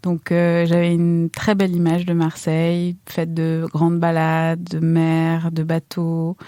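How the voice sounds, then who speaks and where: A woman's dark, mellow voice at a fairly low pitch, very slow and monotone with flat intonation and hardly any pauses, on a very clean recording with a silent background. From Iran, then France from age nine. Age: 30s. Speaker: chef. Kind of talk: interview testimony. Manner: hesitant, many fillers.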